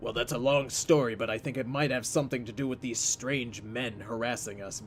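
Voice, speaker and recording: Against clear background noise, a man puts on a raspy character voice at medium pitch, talking at a fairly quick pace with fairly even intonation. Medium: read story.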